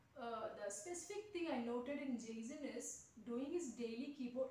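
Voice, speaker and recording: Light background noise and audible room echo surround speech delivered at a fairly slow pace. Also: woman. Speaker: keyboard tutor. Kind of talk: video introduction to camera. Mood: warm, encouraging. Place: classroom.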